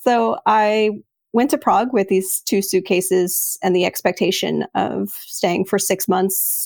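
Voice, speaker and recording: At a fairly slow pace, a woman with a Texas accent speaks at medium pitch with vocal fry and very even loudness, on a very clean recording with a silent background. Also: ordinary pitch variation. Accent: American (Texas). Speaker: writer, artist and publisher. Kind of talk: interview conversation.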